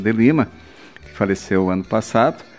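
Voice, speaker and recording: Music plays in the background while a man speaks. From southwest Paraná, Brazil. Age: 60s. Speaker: former mayor, local pioneer. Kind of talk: radio interview, life story.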